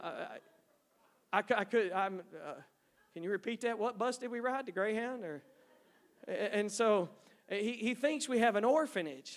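With an American accent, a man speaks at a high pitch with lively intonation. He leaves long, frequent pauses. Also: moderate pace. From East Texas. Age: 50s. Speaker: missionary. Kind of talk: sermon. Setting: church. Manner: halting.

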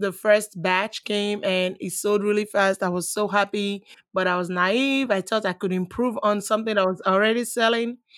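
Speaking in a Nigerian accent, a woman talks with hardly any pauses and a monotone, flat intonation. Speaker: online seller. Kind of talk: casual interview. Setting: video call.

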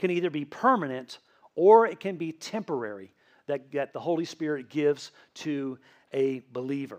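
A man with a slight Tennessee accent speaks with very wide pitch swings. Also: quiet background. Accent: slight Southern US (Tennessee). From Tennessee, US South. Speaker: pastor. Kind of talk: sermon. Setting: church. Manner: casual, conversational.

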